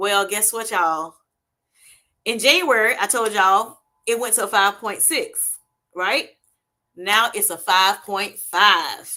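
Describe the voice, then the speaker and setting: In an American accent, the voice has a bright, sharp tone and ordinary pitch variation, moving at a very slow pace with long, frequent pauses on a very clean recording with a silent background. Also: woman, medium pitch for a woman. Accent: Southern US, comes out at times. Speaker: health vlogger. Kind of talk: livestream talk. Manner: casual, hesitant with fillers.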